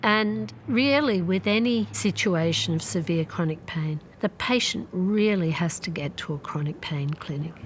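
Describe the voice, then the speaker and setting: In an Australian accent, a woman speaks at a fairly slow pace, her somewhat breathy voice moving through very wide pitch swings. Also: fairly low pitch for a woman. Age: 60s. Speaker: chronic pain patient and doctor. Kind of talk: interview testimony.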